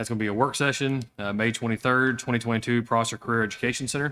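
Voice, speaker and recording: A man's medium-pitched, monotone, flat delivery at a fairly quick pace. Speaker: school board president. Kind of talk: board meeting. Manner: fast.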